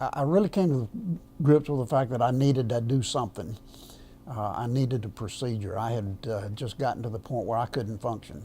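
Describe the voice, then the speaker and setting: Dark and mellow in tone, a man's voice sounds somewhat breathy. He talks at a fairly quick pace. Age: 70s. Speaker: semi-retired minister, heart patient. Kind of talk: interview testimony. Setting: filmed interview on camera. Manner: halting, many fillers.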